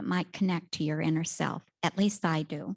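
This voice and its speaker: A somewhat breathy woman's voice with ordinary pitch variation, over a quiet background. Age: 80s+. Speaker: energy workshop teacher. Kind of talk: class instruction. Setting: class in a room and on Zoom.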